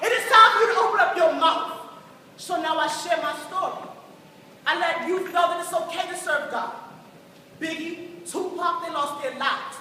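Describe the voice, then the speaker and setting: With long, frequent pauses, a woman speaks at a moderate pace in a raised, projected voice of extremely high pitch. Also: ordinary pitch variation. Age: young. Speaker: spoken word poet. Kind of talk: spoken word testimony performance.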